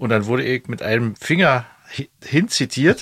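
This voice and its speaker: The recording is dry and close, with no echo. A man speaks in a medium pitch with ordinary pitch variation. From East Germany. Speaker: band member and podcast host. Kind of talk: casual chat.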